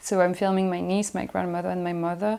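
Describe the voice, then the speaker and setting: A woman speaks with a French accent in a dark, mellow tone at a fairly low pitch, her intonation monotone and flat. The recording is very clean, with a silent background. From Belgium, Brussels. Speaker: filmmaker. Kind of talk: interview.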